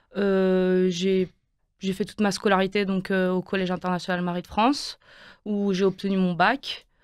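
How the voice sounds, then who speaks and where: Flat, monotone speech from a woman at a moderate tempo. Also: medium pitch for a woman. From Quebec, Montreal (French expat school milieu). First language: Romanian (speaking French). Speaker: university student. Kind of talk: radio interview. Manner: hesitant, many fillers.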